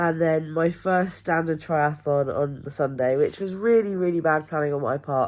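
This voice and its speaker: A woman talks at a moderate pace with hardly any pauses and ordinary pitch variation. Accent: English. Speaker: amateur triathlete vlogger. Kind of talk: personal video diary. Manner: casual, hesitant with many ums.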